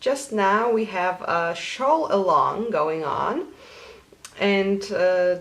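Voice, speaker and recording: With noticeable background noise behind her, a woman speaks at a medium pitch and a very slow pace, her intonation lively. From Poland. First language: Polish. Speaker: knitting podcaster. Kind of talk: casual vlog.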